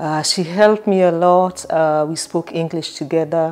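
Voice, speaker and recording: In a Kenyan accent, a woman with a fairly low pitch talks at a fairly slow pace. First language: not English (Kenyan language). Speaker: vlogger. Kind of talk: personal storytelling. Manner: hesitant, many fillers.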